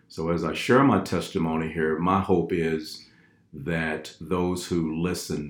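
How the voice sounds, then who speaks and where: Using a very deep, low pitch, a man speaks at a very slow pace with fairly even intonation. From Fort Worth, Texas. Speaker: former radio host, veteran, shelter client. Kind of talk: personal testimony.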